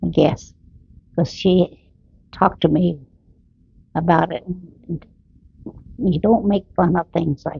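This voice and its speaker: A woman with a fairly low, somewhat breathy voice speaks at a fairly slow pace with ordinary pitch variation. Her pauses are long and frequent. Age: 90s. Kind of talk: family memories interview.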